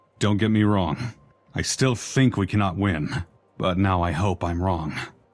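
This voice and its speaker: Over a very clean recording with a silent background, a man puts on a character voice at a very deep, low pitch and a moderate pace. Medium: video game. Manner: tired, thoughtful.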